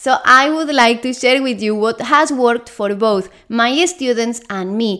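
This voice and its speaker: A woman's high voice in a Spanish accent at a fairly slow pace, on a very clean recording with a silent background. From Spain. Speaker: Spanish teacher. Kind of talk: language lesson monologue.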